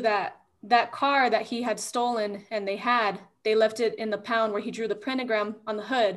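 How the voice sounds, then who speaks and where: Using an unremarkable speaking voice, a woman with an American accent talks at a moderate pace and a fairly high pitch. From Texas, El Paso. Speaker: podcast host. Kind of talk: interview.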